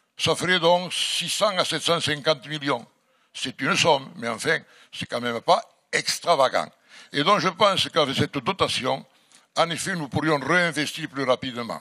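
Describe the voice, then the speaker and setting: In a strong Catalan French accent, a man speaks at a fairly high pitch with a bright, sharp tone. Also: ordinary pitch variation, moderate pace. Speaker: mayor. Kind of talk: formal address at a public debate. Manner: formal.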